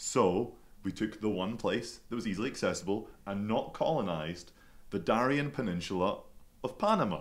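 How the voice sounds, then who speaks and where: A man speaks with a Scottish accent at a moderate pace. His pitch is medium and its variation is ordinary. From Scotland, Glasgow. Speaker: podcast guest. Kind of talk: casual chat. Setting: studio.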